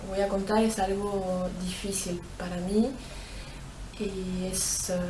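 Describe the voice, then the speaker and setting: Amid noticeable background noise and audible room echo, a woman speaks in a monotone, flat intonation. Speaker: abuse survivor. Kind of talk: testimony. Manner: halting, many fillers.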